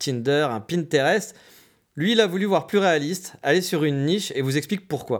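A man with a normal speaking voice talks at a fairly quick pace and fairly high pitch, with lively intonation. The recording is very clean, with a silent background. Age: 30s. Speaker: podcaster, digital nomad. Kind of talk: solo podcast monologue. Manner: casual.

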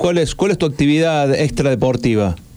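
Speaking at a moderate pace, a man has a fairly high-pitched voice. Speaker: radio host. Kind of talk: casual chat.

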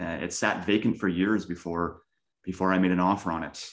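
Over a quiet background, a man with a Canadian accent speaks at a moderate pace. His pitch is very deep and low. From Canada, Winnipeg. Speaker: real estate investor. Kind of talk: interview. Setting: call.

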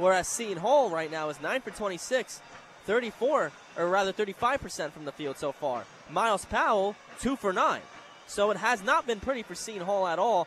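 A high male voice with lively intonation against noticeable background noise. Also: moderate pace. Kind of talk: live commentary, color analysis. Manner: analytical, conversational, occasionally stumbling.

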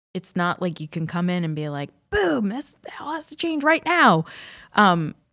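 A woman's ordinary speaking voice, fairly low in pitch, with an American accent at a moderate pace, dry and close with no echo, on a very clean recording with a silent background. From New York state and Connecticut. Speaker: former teacher, professional development trainer. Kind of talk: casual chat.

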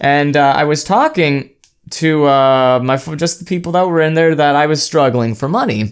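Speaking at a moderate pace with very even loudness, a man uses a fairly high pitch with ordinary variation, in a very clean recording with a silent background. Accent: American. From US West Coast. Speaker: podcast host and streamer. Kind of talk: casual chat. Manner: halting, many fillers.

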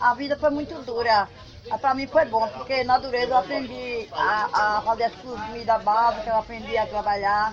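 Here is a woman with a normal speaking voice and a fairly high pitch. She keeps a moderate pace and fairly even intonation. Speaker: farmer. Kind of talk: interview.

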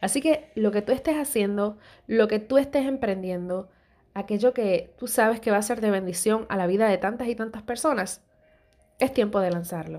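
On a very clean recording with a silent background, a woman's dark, mellow tone sits at a fairly high pitch with ordinary pitch variation. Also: moderate pace. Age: 30s. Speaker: podcast host. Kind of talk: motivational devotional monologue.

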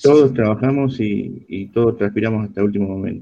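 A man's fairly low, dark, mellow voice with fairly even intonation. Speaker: association volunteer. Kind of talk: casual chat.

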